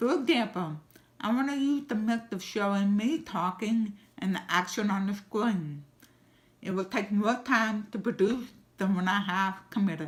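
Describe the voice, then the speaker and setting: A somewhat breathy woman at a moderate pace. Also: medium pitch for a woman, ordinary pitch variation. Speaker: digital marketer. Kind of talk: video Q&A monologue. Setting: home office.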